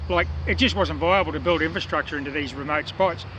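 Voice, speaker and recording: With noticeable background noise, a man talks at a very fast pace in an Australian accent. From Australia, Newcastle, New South Wales. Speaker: metal detecting vlogger. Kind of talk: casual chat to camera. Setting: outdoors.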